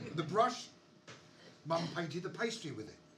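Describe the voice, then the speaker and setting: In audible room echo, a man speaks at a fairly quick pace with a fairly high pitch and lively intonation. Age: 60s. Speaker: punk poet and musician. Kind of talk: poetry performance; casual chat between poems.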